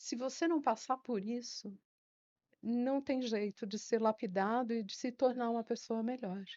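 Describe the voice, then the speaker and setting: A woman with a normal speaking voice speaks at fairly high pitch and a fairly slow pace, with ordinary pitch variation. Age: 60s. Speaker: retired secretary and teacher. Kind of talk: interview.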